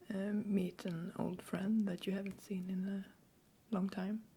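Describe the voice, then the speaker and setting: Someone whispers, soft-spoken. The pace is very slow. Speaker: Swedish language teacher. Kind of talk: language-teaching ASMR, soft-spoken. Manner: soft-spoken, whispering.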